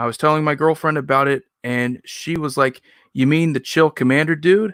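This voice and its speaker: On a very clean recording with a silent background, a man speaks at a moderate pace with fairly high pitch and fairly even intonation, the sound dry and close with no echo. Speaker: streamer and card game content creator. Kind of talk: live stream chat. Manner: somewhat monotone.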